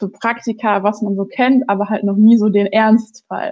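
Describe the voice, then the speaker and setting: A woman's voice sits at medium pitch, monotone and flat in intonation, delivered at a moderate pace. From western Germany, Ruhr area (North Rhine-Westphalia). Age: 30s. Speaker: lawyer. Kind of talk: interview. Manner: halting, many fillers.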